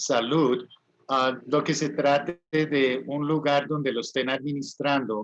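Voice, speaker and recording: In a Spanish accent, a man with a fairly high pitch speaks at a fairly slow pace in a monotone, flat intonation. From US, California. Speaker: English teacher and livestream host. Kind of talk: promotional talk to viewers.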